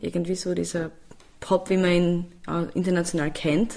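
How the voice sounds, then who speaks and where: A woman's voice with monotone, flat intonation. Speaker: singer and music producer. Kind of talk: interview.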